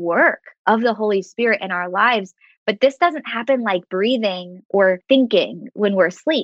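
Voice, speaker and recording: A normal speaking voice in an American accent, with lively intonation at a fairly slow pace. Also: woman. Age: 30s. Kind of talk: faith podcast interview, testimony and teaching.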